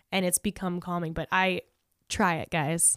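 A woman speaks with an American accent. The recording is very clean with a silent background and a dry, close sound with no echo. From Southern California (La Puente). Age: 20s. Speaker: comedian and podcaster. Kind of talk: casual chat.

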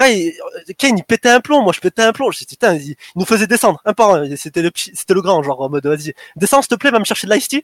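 A man talks very fast at a high pitch with very wide pitch swings. The sound is dry and close, with no echo. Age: 20s. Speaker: competitive gamer. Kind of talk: casual interview.

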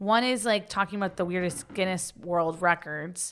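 An ordinary speaking voice from a woman, medium in pitch, at a moderate pace in a very clean recording with a silent background. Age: 30s. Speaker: podcast co-host. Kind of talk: casual chat.

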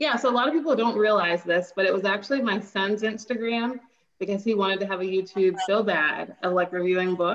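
At a fairly quick pace, a woman speaks with an unremarkable speaking voice at a medium pitch, with ordinary pitch variation and very even loudness. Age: 30s. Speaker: teacher and book recommender. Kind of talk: casual interview.

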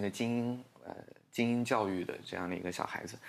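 The speaker is a man whose pitch varies in an ordinary way. Behind him the background is silent, and the recording is very clean. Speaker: English-teaching social media creator. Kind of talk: casual interview chat.

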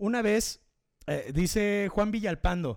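On a very clean recording with a silent background, a man with a Mexican accent speaks at a fairly slow pace. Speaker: podcast host and DJ. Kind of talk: casual live show chat. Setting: home studio, live stream.

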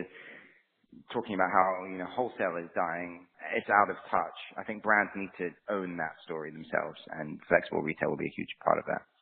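Speaking at a fairly quick pace, a man with a very deep, low pitch keeps his intonation fairly even while his loudness swings widely. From London, England. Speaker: retail business executive. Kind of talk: interview. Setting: remote call.

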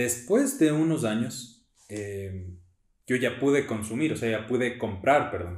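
Audible room echo surrounds a man who speaks very slowly at a medium pitch, with ordinary pitch variation. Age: 20s. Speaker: church youth leader. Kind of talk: testimony.

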